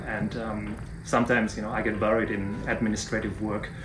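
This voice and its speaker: A man speaks at a fairly quick pace with a German accent. Music plays in the background, and room echo is audible. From Germany. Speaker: professor. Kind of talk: interview. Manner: halting, frequent fillers.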